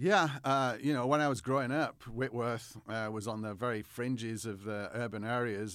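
A man with an English accent talks at a moderate pace with ordinary pitch variation, on a very clean recording against a silent background. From northwest England, near Manchester. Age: 40s. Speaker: history professor. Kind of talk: interview.

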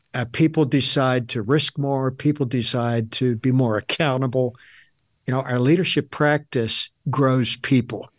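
A man speaks in a plain, everyday voice at a medium pitch with fairly even intonation. The background is quiet. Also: fairly slow pace. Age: 60s. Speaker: author and leadership consultant. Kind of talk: interview.

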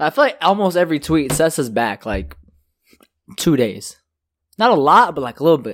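A man's animated, fairly high voice with very wide pitch swings and vocal fry, at a moderate pace with long, frequent pauses, on a very clean recording with a silent background. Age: 20s. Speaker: podcast co-host. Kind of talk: casual chat.

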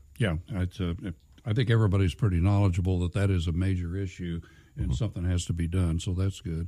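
A man's very deep, low voice, dark and mellow, somewhat breathy, with ordinary pitch variation and a very fast pace on a very clean recording with a silent background. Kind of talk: casual chat. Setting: studio.

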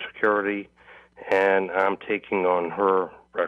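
A man speaks with an American accent. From Massachusetts. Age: 60s. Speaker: caller. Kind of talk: phone-in call. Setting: phone call. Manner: halting.

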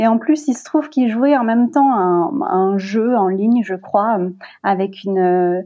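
A woman's ordinary speaking voice, fairly high in pitch, with lively intonation. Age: 30s. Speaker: communications officer and mother. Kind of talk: casual interview.

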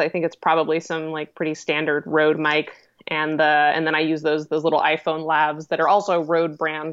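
Fairly quick and fairly low-pitched, a woman with an American accent talks in an ordinary speaking voice. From Colorado, US. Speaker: web series creator and actress. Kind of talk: casual interview.

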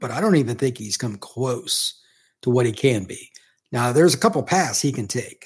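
This very clean recording with a silent background features a somewhat breathy man with an American accent. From Indiana, US Midwest. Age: 50s. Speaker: college football recruiting analyst. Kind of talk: casual interview.

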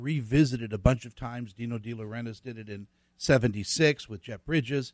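A man with an ordinary speaking voice talks at a moderate pace and medium pitch. His ordinary pitch variation comes through a very clean recording with a silent background. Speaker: guest. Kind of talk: casual studio chat, movie talk. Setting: studio.

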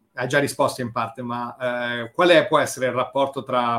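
At a moderate pace, a man speaks with medium pitch in a monotone, flat intonation. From Rome. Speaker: podcast host. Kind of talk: casual interview chat.

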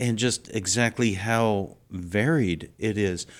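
A man's voice sits at a medium pitch. The recording is very clean, and the background is silent. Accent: Texan. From South Texas. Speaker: host's husband. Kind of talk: casual chat.

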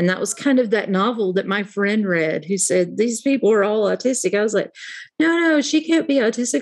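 Speaking at a fairly quick pace with lively intonation, a woman with an American accent has a plain, everyday voice at medium pitch. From US South, southern West Virginia. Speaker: organizational psychology consultant. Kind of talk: interview.

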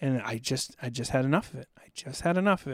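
A man at medium pitch and a very fast pace, on a very clean recording with a silent background. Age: 40s. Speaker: war veteran. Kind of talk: casual chat. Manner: loud.

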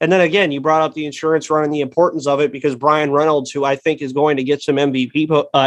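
An unremarkable speaking voice from a man, fairly high in pitch, at a fairly quick pace. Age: 20s. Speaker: sports podcast host. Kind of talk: casual sports talk.

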